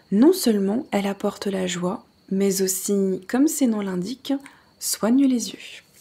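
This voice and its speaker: A soft-spoken woman with a medium pitch, a dark, mellow tone and a somewhat breathy, relaxed delivery, with ordinary pitch variation. She talks at a very slow pace on a very clean recording with a silent background. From Alsace, France. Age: 30s. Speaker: ASMR creator. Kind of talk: ASMR book reading. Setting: relaxed at home in a hammock, birds and crickets in background. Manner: soft-spoken, relaxed.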